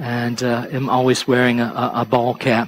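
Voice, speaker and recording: A man with an Appalachian accent over light background noise. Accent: Appalachian Southern US. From East Tennessee, US Appalachia. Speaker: pastor. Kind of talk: sermon. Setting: church. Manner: halting, frequent repetitions. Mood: conversational, storytelling, light humor. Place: church.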